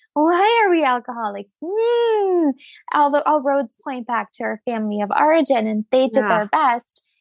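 A woman speaks at a high pitch with very wide swings up and down. The sound is dry and close, with no echo. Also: moderate pace. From Germany. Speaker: money coach. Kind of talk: interview.

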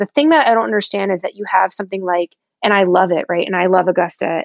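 Using a normal speaking voice, she talks at a medium pitch and varies it in an ordinary way. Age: 30s. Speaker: golf apparel founder and CEO. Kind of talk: casual chat.

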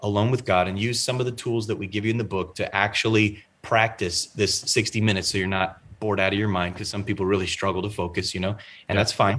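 Fairly quick and fairly low-pitched, this man has an ordinary speaking voice. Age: 30s. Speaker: pastor and author. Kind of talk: interview. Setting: video call.

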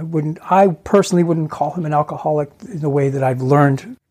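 A man talks in a normal speaking voice with a fairly high pitch. His pace is fairly quick. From Ontario, Canada. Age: 60s. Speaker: guest sharing family addiction story. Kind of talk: interview testimony.

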